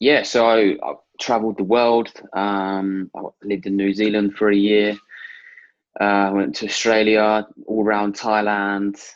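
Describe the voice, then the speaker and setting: With a southern English accent, a man speaks at a fairly low pitch. His pace is fairly slow and his intonation monotone and flat. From Hertfordshire, England. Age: 20s. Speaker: cancer patient. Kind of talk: interview, personal testimony.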